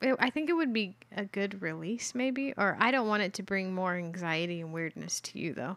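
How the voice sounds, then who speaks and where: With hardly any pauses, a woman has an unremarkable speaking voice at a medium pitch, a moderate pace and lively intonation. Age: 30s. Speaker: podcast co-host. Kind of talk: casual chat. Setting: home recording.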